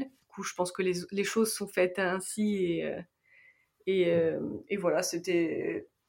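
A woman's monotone, flat intonation. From France. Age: 20s. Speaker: karate athlete. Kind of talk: interview testimony.

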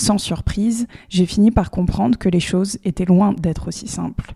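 A woman speaks at a medium pitch and moderate pace in a dark, mellow, somewhat breathy tone. The sound is dry and close with no echo, and her pitch varies in an ordinary way. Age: 20s. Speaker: podcast host. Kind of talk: scripted narration.

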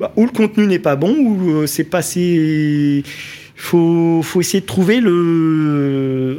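Very slowly, a man speaks at a high pitch with ordinary pitch variation and very even loudness. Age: 40s. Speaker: craftsman and social media influencer. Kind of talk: radio interview. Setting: studio.

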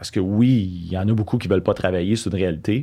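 A man talks at a fairly quick pace. The recording is very clean and the background silent. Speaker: business owner. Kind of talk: interview. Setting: studio. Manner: halting.

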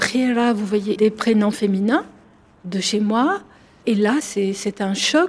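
Her voice carries a somewhat breathy quality. The woman's fairly high pitch varies in an ordinary way. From Algeria, Algiers. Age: 50s. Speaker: psychologist and author. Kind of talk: interview.

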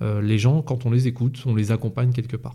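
A man at medium pitch has a dark, mellow tone that is somewhat breathy. His intonation is fairly even. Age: 40s. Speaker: police officer. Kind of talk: interview. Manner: calm.

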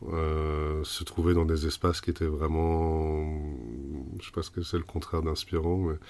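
A man's very deep, low voice in a monotone, flat intonation. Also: very clean recording, silent background. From Germany. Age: 30s. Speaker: founder of a community space association. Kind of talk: casual interview. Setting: old caravan on location. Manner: halting, frequent repetitions.

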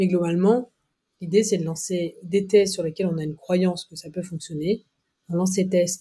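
A woman speaks at medium pitch in a dark, mellow tone that is somewhat breathy. Her intonation stays fairly even while her loudness swings widely. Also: moderate pace. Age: 30s. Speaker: marketing agency partner. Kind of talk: casual interview.

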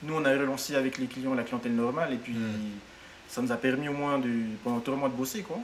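Over noticeable background noise, a man speaks at a fairly quick pace with long, frequent pauses. His pitch is medium and his intonation fairly even. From French Polynesia, Tahiti peninsula. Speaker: hostel owner and entrepreneur. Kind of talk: interview. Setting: at his hostel. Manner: halting, many repetitions.

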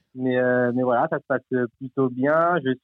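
Moderately paced male speech at medium pitch, its intonation fairly even. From Normandy, France (Cherbourg). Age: 20s. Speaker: sports club partnerships manager. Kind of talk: interview. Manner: halting, many filler words.

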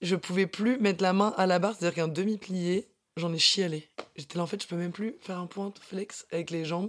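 A woman speaks at medium pitch. Her pace is fairly quick. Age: 20s. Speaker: dancer and fitness instructor. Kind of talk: casual interview. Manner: energetic.

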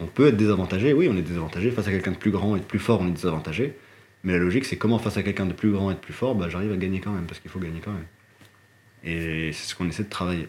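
A man with a very deep, low voice speaks very fast. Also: ordinary pitch variation. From Morocco. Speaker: martial arts practitioner. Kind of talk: casual chat.

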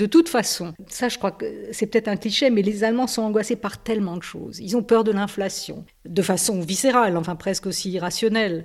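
A woman's normal speaking voice at a medium pitch with ordinary pitch variation, on a very clean recording with a silent background. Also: fairly quick pace. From Alsace, France. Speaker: journalist. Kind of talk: radio interview.

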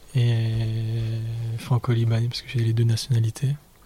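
A soft-spoken man at a medium pitch, fairly slow and monotone, with a dry, close sound and no echo. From Paris suburbs, France. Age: 20s. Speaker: podcast guest. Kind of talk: interview. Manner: soft and slow; halting.

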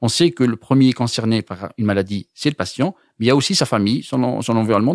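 A man talks in a normal speaking voice at medium pitch and a fairly quick pace. The recording is very clean, with a silent background and a dry, close sound with no echo. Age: 40s. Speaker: medical imaging researcher. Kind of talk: interview.

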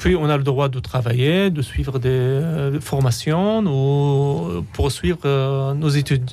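A man with an Arabic accent speaks in a dark, mellow tone with lively intonation and hardly any pauses. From Syria. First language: Arabic (speaking French). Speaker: refugee and philosopher, author. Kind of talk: radio interview. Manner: halting, repeating words.

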